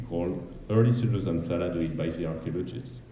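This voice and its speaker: With a French accent, a man speaks in lively intonation while audible room echo surrounds his voice. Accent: French accent, self-described as ugly. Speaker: archaeologist. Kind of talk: conference presentation. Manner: fast, hurried.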